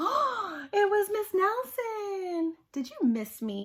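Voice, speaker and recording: Putting on a squeaky character voice, a woman speaks at an extremely high pitch with very wide pitch swings. Her pace is very slow. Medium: read story.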